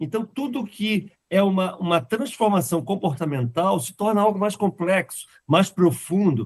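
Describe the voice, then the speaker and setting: A man speaks with a high pitch. His intonation is lively, and his pace is moderate. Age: 60s. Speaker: software company founder. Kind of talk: podcast interview.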